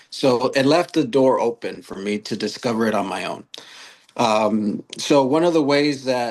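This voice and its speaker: Speaking fairly slowly over a quiet background, a man uses a medium pitch with ordinary pitch variation. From US West Coast, Long Beach, California. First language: Spanish. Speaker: author and youth mentor. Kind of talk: podcast interview.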